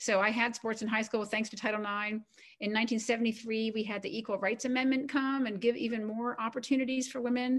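A woman talks at a fairly quick pace in a fairly high, somewhat breathy voice with fairly even intonation. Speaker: retired coast guard admiral and author. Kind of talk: interview.

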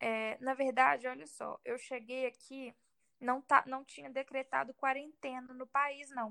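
A woman's raised, projected voice, high-pitched with a bright, sharp tone, monotone and flat in intonation, with big swings in loudness, at a fairly slow pace, in a dry, close sound with no echo. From Brazil, Minas Gerais. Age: 20s. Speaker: exchange student and digital influencer. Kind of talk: interview testimony.

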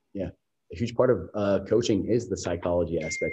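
Speaking at a fairly quick pace with an American accent, a man has a somewhat breathy voice and a dark, mellow tone. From US Midwest, Columbus, Ohio. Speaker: dietitian and bodybuilding coach. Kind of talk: podcast interview.

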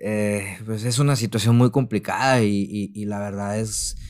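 The recording is very clean, with a silent background. A man speaks fairly slowly in a fairly low voice with fairly even intonation. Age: 30s. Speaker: translator. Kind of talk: testimony. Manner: halting, many repeated words.

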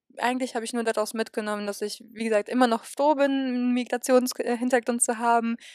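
A woman's fairly high-pitched voice comes through with a dry, close sound and no echo. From western Germany, near Cologne/Aachen. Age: 20s. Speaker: university student. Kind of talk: interview.

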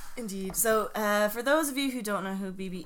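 A woman speaks with an Irish accent. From Ireland. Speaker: podcast host. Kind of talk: casual chat.

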